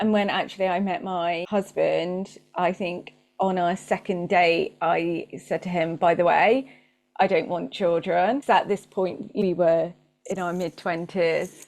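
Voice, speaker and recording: With a British accent, a woman speaks at a fairly slow pace in a fairly low pitch and fairly even intonation. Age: 40s. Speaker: marketing coach and business owner. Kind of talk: casual interview chat.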